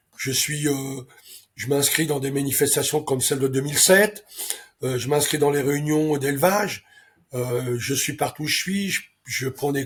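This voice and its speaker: A man with a somewhat breathy, fairly high voice talks at a moderate pace with ordinary pitch variation. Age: 70s. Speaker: racehorse owner and breeder. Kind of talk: interview. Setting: interview. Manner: hesitant, many fillers.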